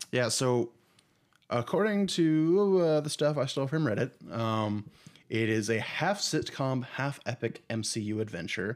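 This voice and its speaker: Speaking at a fairly slow pace, a man with a medium-pitched voice lets his pitch swing very widely. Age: 20s. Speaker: podcast co-host. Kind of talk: casual chat.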